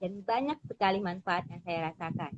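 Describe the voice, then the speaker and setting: Here a woman speaks at a fairly low pitch. Her pitch variation is ordinary. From Jakarta, Indonesia (Betawi family). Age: 40s. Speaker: small business owner. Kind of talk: interview self-introduction. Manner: hesitant with frequent fillers.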